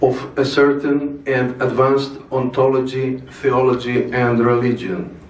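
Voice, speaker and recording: Fairly slow, monotone, flat speech from a man with a Greek accent, plus audible room echo and noticeable background noise. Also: medium pitch for a man. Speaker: religious movement representative. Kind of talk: conference speech. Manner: formal.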